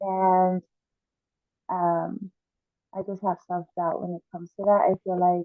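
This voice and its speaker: Moderate pace from a woman with a medium pitch. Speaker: podcast co-host. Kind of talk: casual chat. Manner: drops the g in -ing words.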